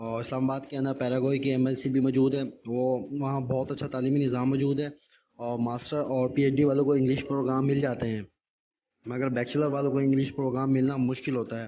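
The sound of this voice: Amid audible room echo, a man talks at a fairly quick pace with a medium pitch and little pitch movement.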